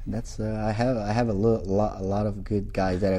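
In a Portuguese accent, a man talks at a moderate pace with a fairly low pitch and a dark, mellow tone. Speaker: jiu-jitsu instructor. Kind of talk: interview. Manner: halting, frequent repetitions and fillers.

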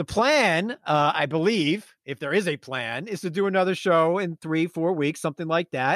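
Loud and energetic, a man with a high pitch talks at a moderate pace with hardly any pauses and ordinary pitch variation, the sound dry and close with no echo. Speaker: fantasy baseball podcast host. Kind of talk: casual chat. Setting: remote recording. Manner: loud, energetic.

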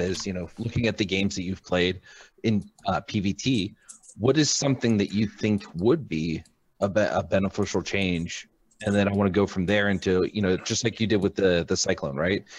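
A man's fairly low voice with ordinary pitch variation, a normal speaking voice. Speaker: co-host. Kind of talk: casual group discussion about a video game. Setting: video call.

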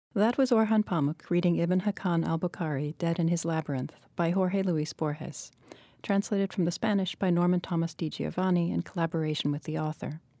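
A woman speaks at a fairly quick pace in a fairly low, dark, mellow voice with ordinary pitch variation. The recording is very clean, with a silent background and a dry, close sound with no echo. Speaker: fiction editor and podcast host. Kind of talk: interview, podcast host introduction.

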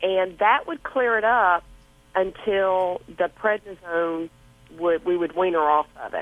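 Speaking with a Southern accent, a woman keeps a medium pitch. Her pace is fairly slow, and her pitch varies in an ordinary way. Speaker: caller. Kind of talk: call-in question. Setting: phone call.

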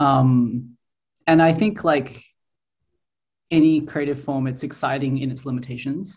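Fairly slow speech in an Australian accent, with long, frequent pauses. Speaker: comics artist. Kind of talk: interview.

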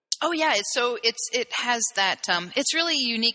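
A woman speaks over noticeable background noise. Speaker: gender therapist. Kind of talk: interview conversation.

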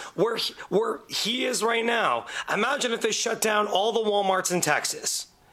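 Over noticeable background noise, a man with a high pitch uses a raised, projected voice at a moderate pace and with fairly even intonation. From Windsor, Ontario, Canada. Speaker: podcast guest, radio show colleague. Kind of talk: casual chat.

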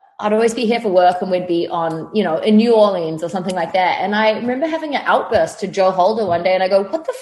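With a New Zealand accent, a woman at a medium pitch speaks at a fairly quick pace over noticeable background noise. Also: hardly any pauses. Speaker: fitness trainer. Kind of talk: casual chat. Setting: video call. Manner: animated.

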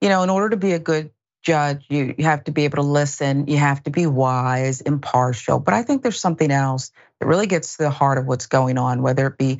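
Very deep, low pitch from a woman speaking at a fairly quick pace. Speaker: guest host and news contributor. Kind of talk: news commentary. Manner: good cadence.

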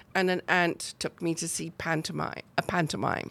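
On a very clean recording with a silent background, a woman speaks with a British accent and ordinary pitch variation. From northern England, near Chester. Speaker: arts organizer. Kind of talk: casual interview.

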